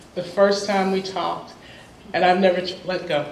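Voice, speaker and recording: A woman speaks with an American accent over noticeable background noise, with audible room echo. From US South (Columbus, Georgia). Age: 50s. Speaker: professor. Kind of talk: panel discussion talk.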